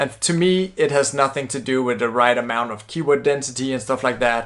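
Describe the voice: This man's voice has a fairly bright tone. Vocal fry runs through it.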